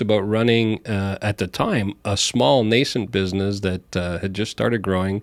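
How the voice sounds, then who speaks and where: A man with a slight Montreal accent speaks at a fairly quick pace and fairly low pitch. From Montreal, Canada. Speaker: healthcare company CEO. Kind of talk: podcast interview. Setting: studio.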